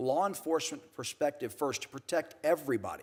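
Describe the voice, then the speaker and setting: Talking at a fairly quick pace, a man with a plain, everyday voice and a fairly high pitch uses lively intonation. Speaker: former border protection official. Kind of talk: congressional hearing testimony.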